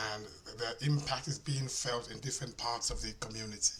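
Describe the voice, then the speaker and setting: There is noticeable background noise and audible room echo. The man talks at a fairly slow pace with a medium pitch. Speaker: minister and conference speaker. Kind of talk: conference talk.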